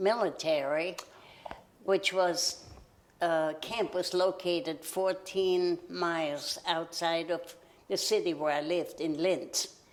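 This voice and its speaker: A woman's fairly low voice in a German accent, very slow in pace and fairly even in intonation. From Austria. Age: 90s. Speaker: local history interviewee. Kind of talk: oral history interview.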